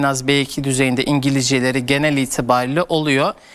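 A man's voice sits fairly high in pitch. He talks at a fairly quick pace. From Turkey. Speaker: education consultant; guest. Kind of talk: TV interview. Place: studio.

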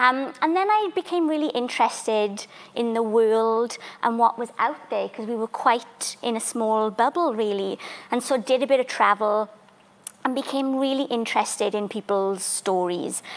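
Speaking in a Welsh accent, a woman uses a fairly high pitch, ordinary pitch variation and a moderate pace. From Wales, Welsh valleys; Wales. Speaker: theatre maker and community artist; panellist. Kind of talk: panel discussion. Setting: library museum, live stream. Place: hall.

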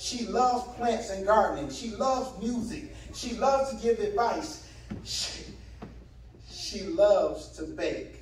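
There is audible room echo and light background noise. A man talks at a fairly slow pace. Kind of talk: eulogy speech. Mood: warm, lightly humorous. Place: hall. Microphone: podium.

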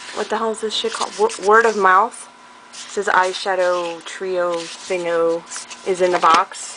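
Noticeable background noise sits behind a woman talking at a fairly slow pace. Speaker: beauty vlogger. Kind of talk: casual chat. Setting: home recording. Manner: animated. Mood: playful, joking. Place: home room. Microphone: webcam.

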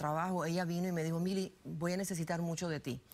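The pace is very fast. A woman's pitch runs fairly low. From Louisiana, US (born in Cuba). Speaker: political analyst and business consultant; guest. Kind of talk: interview. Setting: studio. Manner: halting, frequent repetitions. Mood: warm, proud storytelling. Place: studio. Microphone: lapel.

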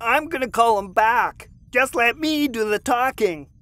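A man performs a put-on character voice at an extremely high pitch. He keeps a moderate pace on a very clean recording with a silent background.

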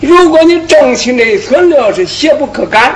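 A man's voice with very wide pitch swings at a very slow pace. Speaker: qigong teacher. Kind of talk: lecture. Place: studio.

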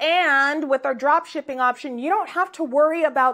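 A woman talks at a moderate pace in an animated tone with ordinary pitch variation. The background is quiet. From US, Nigerian American family. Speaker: business owner and coach; business coach. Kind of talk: tutorial.

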